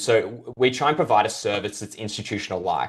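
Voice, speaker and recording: Against a quiet background, a man with an Australian accent and a fairly low voice talks at a very fast pace. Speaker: crypto brokerage representative. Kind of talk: interview. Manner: hesitant fillers.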